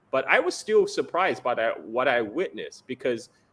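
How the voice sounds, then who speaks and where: Speaking with a Chinese accent, a man has a high pitch and very wide pitch swings. His tone is bright and sharp, and his pace is moderate. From China. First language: Chinese dialect. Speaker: geopolitical analyst. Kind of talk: interview.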